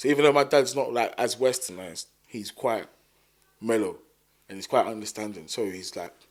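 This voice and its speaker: On a very clean recording with a silent background, a man with a South London accent talks at a fairly quick pace, with lively intonation, big swings in loudness and long, frequent pauses. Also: medium pitch for a man. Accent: South London, multicultural London English. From South London (Thamesmead). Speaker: musician. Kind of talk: casual chat.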